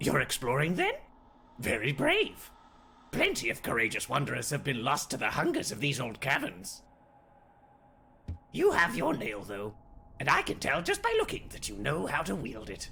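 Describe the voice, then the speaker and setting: Putting on a character voice, a man speaks at a moderate pace and a fairly high pitch, with long, frequent pauses. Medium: fan dub. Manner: smooth, amiable.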